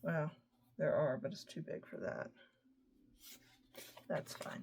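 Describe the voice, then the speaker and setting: Mumbling woman with an American accent at a fairly slow pace. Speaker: scrapbooking product advisor. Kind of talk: craft tutorial. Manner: casual, thinking aloud.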